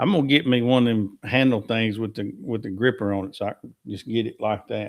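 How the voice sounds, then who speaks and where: Speaking with a Southern US accent, a man keeps a fairly quick pace. His pitch is medium and his intonation fairly even. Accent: US South. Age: 60s. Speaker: livestream host. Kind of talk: casual chat. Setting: livestream.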